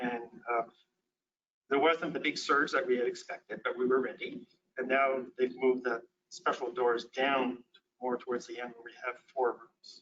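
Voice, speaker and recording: A man speaks at a medium pitch and a moderate pace with big swings in loudness. Long, frequent pauses break up his speech. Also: fairly even intonation. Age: 60s. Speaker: physician and lecturer. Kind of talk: lecture. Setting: conference presentation with slides.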